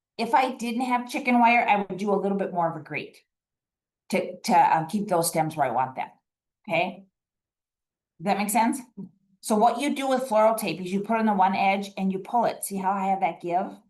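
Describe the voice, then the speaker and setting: Her intonation lively, a woman with a medium pitch talks at a fairly quick pace. She leaves long, frequent pauses. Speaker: master gardener volunteer demonstrator. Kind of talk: live demonstration workshop. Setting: room with in-person and online audience. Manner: fast.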